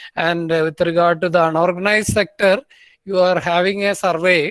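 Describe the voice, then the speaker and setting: Here a man speaks high for a man, with fairly even intonation. The sound is dry and close with no echo. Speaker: professor. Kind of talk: lecture.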